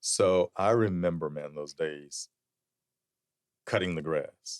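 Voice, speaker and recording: In a South Carolina accent, the speaker talks at a very slow pace, the sound dry and close with no echo. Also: man. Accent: US Southern (South Carolina). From South Carolina (Sumter, rural). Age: 50s. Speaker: leather goods entrepreneur and lobbyist. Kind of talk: casual interview chat.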